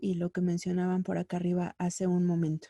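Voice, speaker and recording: The woman's tone is dark and mellow, recorded with a dry, close sound and no echo. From central Mexico (State of Mexico / Mexico City). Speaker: radio workshop instructor. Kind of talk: lecture.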